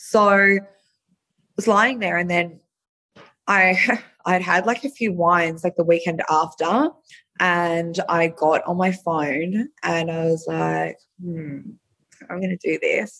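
At a very slow pace with long, frequent pauses, a woman with a fairly low pitch and an Australian accent talks with ordinary pitch variation. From Australia, Melbourne (Frankston). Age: 30s. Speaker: adult entertainer, former reality TV contestant. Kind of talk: casual interview chat.

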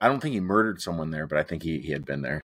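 The background is silent and the recording very clean. A man talks with ordinary pitch variation. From California, US. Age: 30s. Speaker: professional wrestler and true crime podcaster. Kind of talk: casual interview chat.

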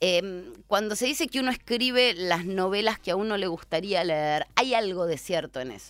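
Medium pitch, lively intonation and a moderate pace from a woman with a Rioplatense accent. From Buenos Aires, Argentina. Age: 50s. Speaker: novelist and journalist. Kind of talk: casual interview.

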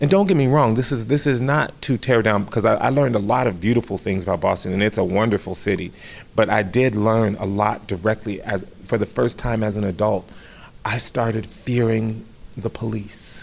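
In an ordinary speaking voice with an American accent, a man of medium pitch talks at a fairly quick pace with ordinary pitch variation. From Southern California, Riverside. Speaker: stage actor. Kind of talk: interview.

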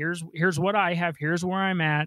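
The man's voice is high-pitched, with a dry, close sound and no echo. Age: 40s. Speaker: financial advisor. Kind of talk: radio call-in advice show. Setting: radio studio.

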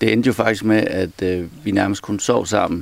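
A man talks at a fairly slow pace in a fairly low pitch. His intonation is monotone and flat. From Denmark, Aarhus. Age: 40s. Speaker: entertainer. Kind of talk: casual interview.

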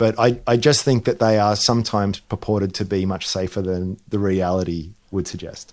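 A man with an Australian accent speaks at a fairly low pitch with fairly even intonation on a very clean recording with a silent background. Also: moderate pace. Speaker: investment analyst co-host. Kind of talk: casual chat.

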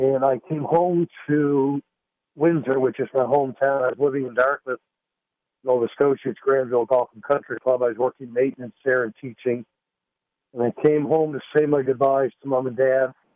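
A man's normal speaking voice at medium pitch, moderate in pace, with fairly even intonation. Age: 50s. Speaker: pastor and golf instructor. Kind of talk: testimony.

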